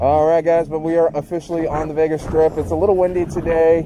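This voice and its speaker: Over noticeable background noise, the speech runs at a very fast pace in a monotone, flat intonation, with a dry sound with no echo. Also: man. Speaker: travel vlogger. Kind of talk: casual vlog chat. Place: street. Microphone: phone near.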